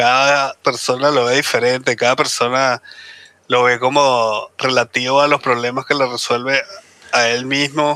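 Very slowly and in a monotone, flat intonation, a man talks at a medium pitch with very even loudness. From Caribbean. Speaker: podcast co-host. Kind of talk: casual chat.

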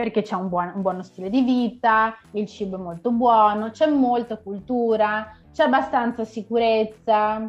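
A woman with a plain, everyday voice, fairly high in pitch, with fairly even intonation and hardly any pauses, over a quiet background. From northeast Italy, Vicenza. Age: 30s. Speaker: Italian teacher. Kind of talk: casual chat.

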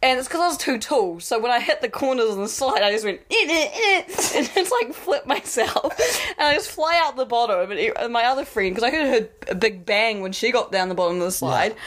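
A high-pitched woman with a New Zealand accent, a fairly quick pace and very wide pitch swings, over noticeable background noise. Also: hardly any pauses. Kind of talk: casual chat. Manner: casual, swears a lot, laughs often.

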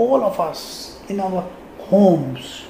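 Someone with a Sindhi accent talks over noticeable background noise. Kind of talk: personal tribute monologue.

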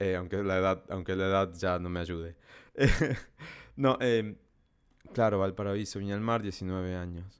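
A man speaks at a moderate pace in a very deep, low voice, leaving long, frequent pauses. The recording is very clean, with a silent background. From Salta, northern Argentina. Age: 30s. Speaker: podcaster. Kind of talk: solo podcast monologue.

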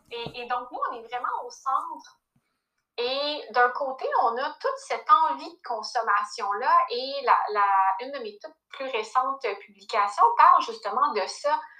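Raising and projecting her voice, a woman with a high pitch and a bright, sharp tone speaks at a fairly slow pace with lively intonation. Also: big swings in loudness. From Quebec. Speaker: personal finance coach. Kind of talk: casual interview.

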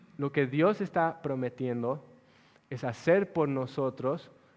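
A man at a medium pitch and a very slow pace. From Bolivia (La Paz). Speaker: pastor. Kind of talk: sermon.

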